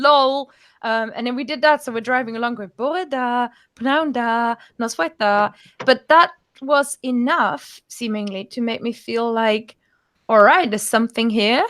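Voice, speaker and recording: A woman with a German accent, high in pitch with ordinary pitch variation, at a fairly slow pace on a very clean recording with a silent background. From Germany. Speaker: language teacher. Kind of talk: interview. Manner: halting.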